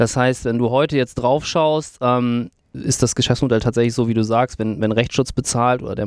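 A man's unremarkable speaking voice, medium in pitch, at a moderate pace with fairly even intonation, in a very clean recording with a silent background. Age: 30s. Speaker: legal tech company CEO. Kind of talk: interview conversation. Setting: in person at the guest's office.

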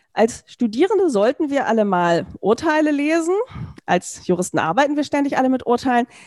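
A woman speaks at a fairly quick pace in a high voice with very wide pitch swings. Her loudness stays very even. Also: dry, close sound with no echo. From Berlin, Germany. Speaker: law professor. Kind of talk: interview conversation.

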